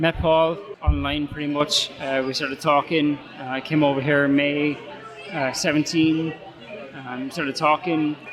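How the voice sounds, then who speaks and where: A man talks at a moderate pace in a fairly high pitch, his intonation monotone and flat. Noticeable background noise runs under his voice. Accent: Irish. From Ireland. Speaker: head brewer. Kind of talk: interview. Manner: halting.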